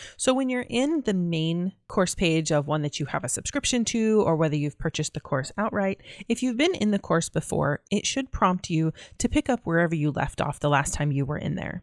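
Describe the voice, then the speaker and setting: A woman's fairly low voice at a fairly quick pace, with very wide pitch swings, dry and close with no echo, on a very clean recording with a silent background. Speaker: online course instructor. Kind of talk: screen-share tutorial. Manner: fast.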